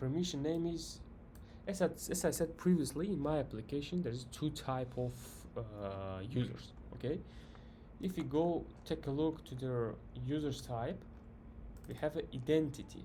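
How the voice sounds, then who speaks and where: A man with a non-native accent speaks at a moderate pace in a fairly high, somewhat breathy voice with a dark, mellow tone and ordinary pitch variation. Long, frequent pauses break up his speech, and audible room echo is present. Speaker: software developer tutorial creator. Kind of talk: coding tutorial. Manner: halting, many fillers and restarts.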